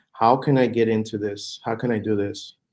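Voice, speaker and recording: A man speaks with a Spanish accent. His pitch is medium and his pace fairly quick. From Puerto Rico. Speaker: real estate fund manager. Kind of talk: podcast interview. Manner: halting, many fillers and repetitions.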